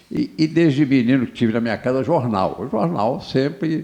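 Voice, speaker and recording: There is vocal fry in this man's voice. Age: 70s. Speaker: former mayor and businessman. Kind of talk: interview. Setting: studio. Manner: halting, many repetitions.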